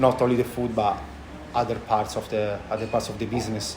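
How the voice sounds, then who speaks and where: A man talks at a medium pitch, his intonation fairly even, while noticeable background noise and audible room echo fill the recording. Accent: strong Italian. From Italy, Tuscany. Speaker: chef and restaurant owner. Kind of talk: interview. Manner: halting, many fillers.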